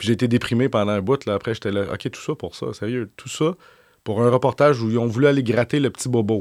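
A man in a Quebec accent at a fairly quick pace and medium pitch, with ordinary pitch variation, dry and close with no echo, on a very clean recording with a silent background. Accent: Québécois French. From Quebec (Saint-Eustache area). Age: 40s. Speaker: journalist. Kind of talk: interview.

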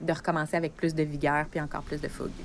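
This woman speaks with a Quebec accent. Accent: Québécois French. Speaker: friend of the host. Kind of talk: casual chat. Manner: halting.

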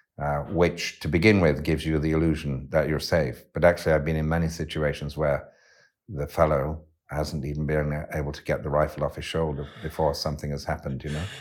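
The recording is very clean, with a silent background. A man speaks in a very deep, low pitch at a fairly quick pace with monotone, flat intonation. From West Yorkshire, England. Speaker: poet and philosopher. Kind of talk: interview. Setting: cottage by a fire. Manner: halting, with many fillers.

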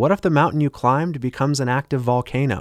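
A man with a normal speaking voice and medium pitch uses lively intonation. The very clean recording has a silent background and a dry, close sound with no echo. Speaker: radio host and financial advisor. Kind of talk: infomercial-style sales pitch. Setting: radio studio broadcast. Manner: urgent, pushy hard-sell with a polished radio-ad cadence.

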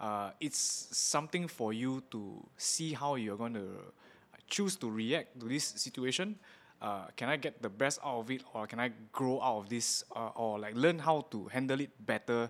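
This man speaks with a Singaporean accent at a moderate pace. His pitch is medium, with ordinary variation. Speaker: tattoo artist and podcast host. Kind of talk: interview.

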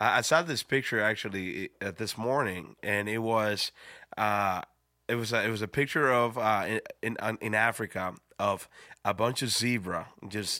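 A man with a Spanish accent speaks at a moderate pace in a bright, sharp tone, his pitch varying in an ordinary way. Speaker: pastor. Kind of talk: casual chat.

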